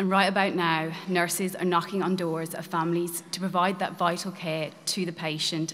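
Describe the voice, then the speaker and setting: Moderate pace with monotone, flat intonation. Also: woman. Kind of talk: prepared speech to an audience. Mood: earnest, grateful. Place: church.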